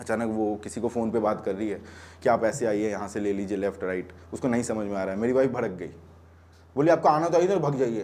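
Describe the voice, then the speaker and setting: Featuring a plain, everyday voice, a man speaks at a fairly low pitch with ordinary pitch variation. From Bihar, India. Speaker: stand-up comedian. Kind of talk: stand-up comedy set. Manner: casual, conversational.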